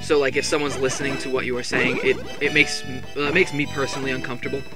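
Clear music plays in the background while the speech goes by at a very fast pace. The sound is dry, with no echo. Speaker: gaming let's play commentator. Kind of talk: casual gameplay commentary. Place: home room.

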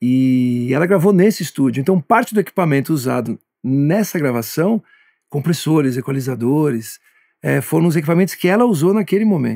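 Fairly high-pitched and dark, mellow in tone, a man speaks at a fairly quick pace with lively intonation. His loudness stays very even, and the background is quiet. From Brazil. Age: 50s. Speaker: music producer; guest. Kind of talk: interview monologue. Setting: studio. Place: studio.

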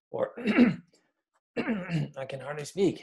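A man uses a put-on character voice at a fairly high pitch. It sounds croaky and strained.

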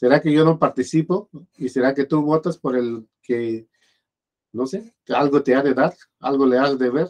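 A man speaks in a normal speaking voice at a fairly slow pace. His pitch varies in an ordinary way against a quiet background. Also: fairly high pitch for a man. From Mexico. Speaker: video blogger commenting on politics. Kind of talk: casual spoken commentary. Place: home room. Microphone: webcam.

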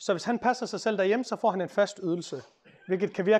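Over a quiet background, a man with a high voice talks at a very fast pace with ordinary pitch variation. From Denmark. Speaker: lawyer and author; speaker. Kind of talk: public talk. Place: meeting room. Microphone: lapel.

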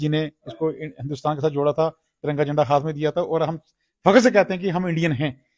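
A man's fairly high-pitched voice at a fairly quick pace, against a quiet background. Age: 40s. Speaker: cow shelter caretaker and activist; interviewee. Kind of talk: on-site interview. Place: farm. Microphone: lapel.

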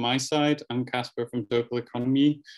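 A man talks at a moderate pace in a monotone, flat intonation, with a quiet background behind him. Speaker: workshop host. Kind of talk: online workshop welcome. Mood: friendly, welcoming. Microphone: video call.

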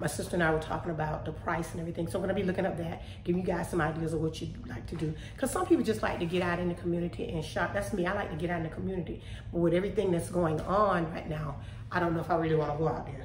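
Very fast and fairly even in intonation, a woman speaks with a fairly low pitch. Audible room echo and light background noise surround her voice. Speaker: home vlogger. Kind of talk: casual vlog chat. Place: kitchen. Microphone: phone near.

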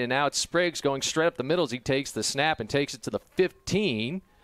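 In a very clean recording with a silent background and a dry, close sound with no echo, a man uses an unremarkable speaking voice at a fairly high pitch with ordinary pitch variation. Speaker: play-by-play announcer. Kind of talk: live sports commentary, play-by-play. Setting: stadium press box broadcast.

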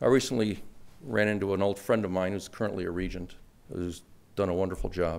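A man speaks at a very fast pace with an American accent, his fairly low pitch held in fairly even intonation. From Chicago. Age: 50s. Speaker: award recipient, wealth management professional. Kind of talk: acceptance speech. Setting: stage with audience. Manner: humorous, conversational. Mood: earnest, pointed advocacy. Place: hall. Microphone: podium.

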